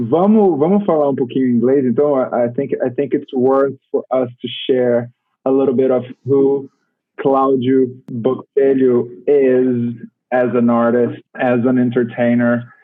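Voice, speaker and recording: Over background music, a man with a Portuguese accent speaks at medium pitch and a moderate pace, his intonation fairly even. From Brazil. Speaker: interviewer, theater director. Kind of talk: interview.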